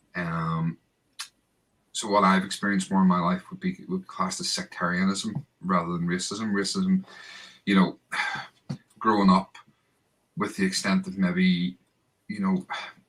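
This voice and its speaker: With a Northern Irish accent, a man talks at a moderate pace, stopping for long, frequent pauses. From Northern Ireland, Bangor near Belfast. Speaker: football podcast host. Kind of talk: casual chat.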